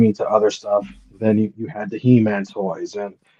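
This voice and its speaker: With a Spanish accent, a man speaks at a moderate pace in a dark, mellow tone. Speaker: panelist. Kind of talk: casual chat.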